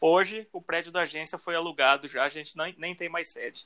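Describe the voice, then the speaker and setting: High-pitched male speech, bright and sharp in tone. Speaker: podcast co-host. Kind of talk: casual chat.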